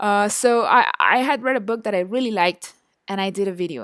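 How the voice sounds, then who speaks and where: A woman with a Spanish accent talks at a moderate pace, her intonation lively. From Chile. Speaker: online marketing instructor. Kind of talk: online course lecture. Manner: hesitant, many fillers and repetitions.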